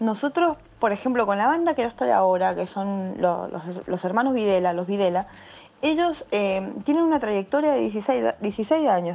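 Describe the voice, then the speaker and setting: A woman speaks at a medium pitch with very wide pitch swings. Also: moderate pace. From Argentina, San Juan (Cuyo). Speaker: bass player. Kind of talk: interview. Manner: halting.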